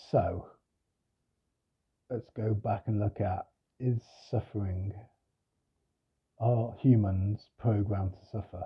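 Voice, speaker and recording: A soft-spoken, somewhat breathy man at a very slow pace, with long, frequent pauses, fairly even intonation and big swings in loudness. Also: fairly low pitch for a man. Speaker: spiritual teacher. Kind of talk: reflective monologue. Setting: at home. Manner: hesitant.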